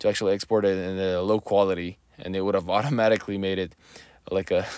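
A very fast-paced man's voice on a very clean recording, silent background. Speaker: 3D modeling tutorial creator. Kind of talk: tutorial. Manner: fast, rambling delivery; hesitant, many fillers.

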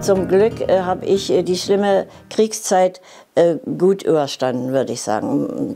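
A woman talks at a fairly slow pace with very wide pitch swings. Music plays in the background. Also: medium pitch for a woman. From Berlin, Germany. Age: 80s+. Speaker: ballet teacher. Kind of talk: TV interview answer.

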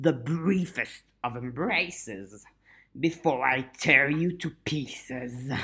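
Someone uses a put-on character voice at a low-to-middle pitch, speaking at a very slow pace. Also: very clean recording, silent background. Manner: menacing, taunting.

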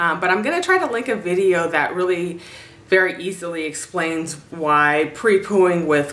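Over faint background noise, a woman speaks with a fairly bright tone and low pitch for a woman.

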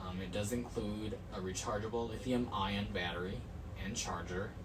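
Music plays in the background as a man speaks. His intonation stays fairly even. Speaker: product reviewer. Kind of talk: product review reading specs. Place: home room. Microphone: camera far.

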